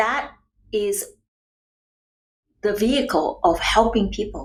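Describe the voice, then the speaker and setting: Very slowly, a woman with a Chinese accent speaks in a fairly high pitch with vocal fry and ordinary pitch variation. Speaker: nutrition and wellness coach. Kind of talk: podcast interview.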